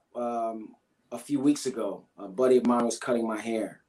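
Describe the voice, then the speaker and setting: A man's normal speaking voice with fairly even intonation. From US Northeast, Brooklyn, New York. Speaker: climber. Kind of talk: interview.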